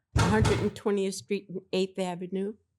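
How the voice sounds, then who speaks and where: This woman has a dark, mellow tone and a fairly low pitch. She speaks with fairly even intonation in a New York accent. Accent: New York twang. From Harlem, New York City. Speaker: host's mother. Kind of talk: casual chat.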